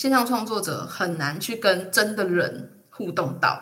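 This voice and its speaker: Amid noticeable background noise and audible room echo, a woman speaks at a medium pitch with very wide pitch swings. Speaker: podcaster and freelance audio producer. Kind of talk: casual interview chat.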